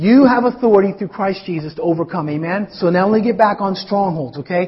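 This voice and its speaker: An animated, high-pitched man at a fairly quick pace with ordinary pitch variation. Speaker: pastor. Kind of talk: sermon. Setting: church. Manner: animated, conversational preacher.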